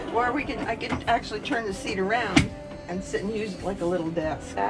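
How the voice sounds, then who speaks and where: Over loud music in the background, a woman talks with ordinary pitch variation. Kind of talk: casual home tour explanation. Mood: friendly, proud. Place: bus. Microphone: camera far.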